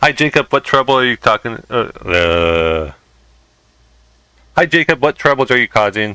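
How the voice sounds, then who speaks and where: A man with an American accent, fairly slow, with vocal fry, a bright, sharp tone, very wide pitch swings, and a dry, close sound with no echo. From Southern California. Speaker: video game streamer. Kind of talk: live gameplay stream chat. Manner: halting, frequent fillers.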